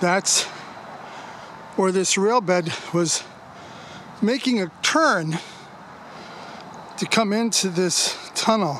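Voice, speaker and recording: A man speaks very slowly at a high pitch with ordinary pitch variation and long, frequent pauses. Noticeable background noise is present. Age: 70s. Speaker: railroad history vlogger. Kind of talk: casual walking vlog narration. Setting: outdoors. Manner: folksy, conversational.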